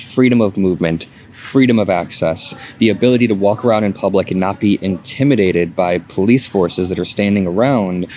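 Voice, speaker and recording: A man with a fairly low pitch talks at a very fast pace, his pitch varying in an ordinary way. Background noise is noticeable. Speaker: political commentator. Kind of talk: vlog monologue. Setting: airport. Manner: speaking quietly.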